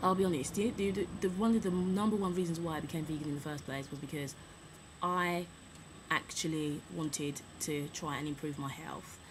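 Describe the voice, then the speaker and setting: A woman speaks at a moderate pace with a very deep, low pitch and fairly even intonation. Audible room echo and noticeable background noise surround her. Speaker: vlogger. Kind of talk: casual chat. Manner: straining to speak up.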